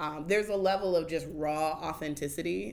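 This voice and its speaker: At a fairly quick pace, this voice has vocal fry and fairly even intonation. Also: woman. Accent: American. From Oakland, California. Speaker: community organizer. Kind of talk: casual interview.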